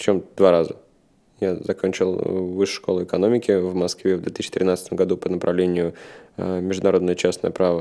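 A man speaks in a very deep, low pitch. His tone is dark and mellow. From Russia, Saint Petersburg. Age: 30s. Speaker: food company co-founder. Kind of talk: interview.

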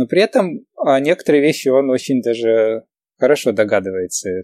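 Moderately paced speech from a man at a fairly high pitch, dry and close with no echo, on a very clean recording with a silent background. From Ukraine (Kyiv), moved to New York as a teen. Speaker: entrepreneur and math teacher. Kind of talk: casual interview chat. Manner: hesitant, many fillers.

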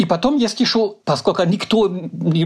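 The pace here is moderate. The man talks in a German accent. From Germany. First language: German (speaking Russian). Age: 60s. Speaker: political scientist. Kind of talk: interview. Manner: halting.

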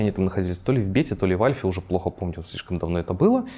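A man's very fast speech, dark and mellow in tone, with lively intonation. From Belarus, Minsk. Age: 20s. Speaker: game developer. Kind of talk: interview.

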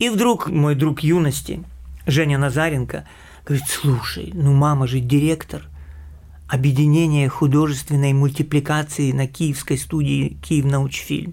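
A man's fairly high, somewhat breathy voice moves at a fairly slow pace with fairly even intonation and very even loudness. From Ukraine, Kyiv. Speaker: animation director. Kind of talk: interview.

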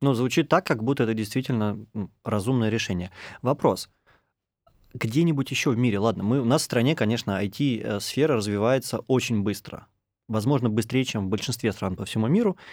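With long, frequent pauses, a man talks at a medium pitch with ordinary pitch variation on a very clean recording with a silent background. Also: fairly quick pace. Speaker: podcast host. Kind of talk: interview. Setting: studio.

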